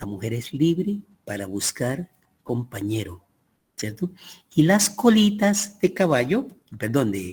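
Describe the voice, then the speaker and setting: A man's very slow, somewhat breathy voice at a fairly high pitch, with very wide pitch swings, big swings in loudness, and long, frequent pauses. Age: 80s+. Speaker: teacher. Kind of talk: lecture.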